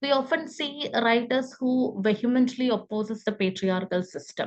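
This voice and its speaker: Her pitch fairly high and varying in an ordinary way, the woman keeps to a moderate pace. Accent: Keralan. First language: Malayalam. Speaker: book reviewer at a literary forum. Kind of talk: book review talk. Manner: halting, many fillers.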